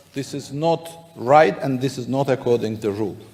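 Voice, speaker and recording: Medium-pitched male speech at a moderate pace, with ordinary pitch variation and noticeable background noise. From Azerbaijan. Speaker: parliamentarian. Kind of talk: parliamentary debate.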